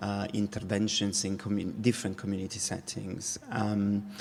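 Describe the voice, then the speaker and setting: A man with a non-native accent speaks at a moderate pace in a fairly low, monotone voice. Noticeable background noise runs behind him. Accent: foreign accent, non-English. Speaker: dance company artistic director. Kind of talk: keynote talk. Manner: halting, many fillers.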